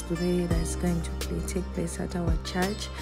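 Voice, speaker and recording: A woman talks while clear music sounds in the background. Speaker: vlogger. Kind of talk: casual vlog chat. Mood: excited, cheerful. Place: bus. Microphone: phone near.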